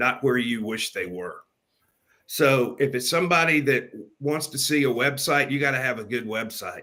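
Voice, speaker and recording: Bright and sharp in tone, a man speaks in a medium pitch at a moderate pace. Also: ordinary pitch variation. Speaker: podcast host. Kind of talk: conversational interview.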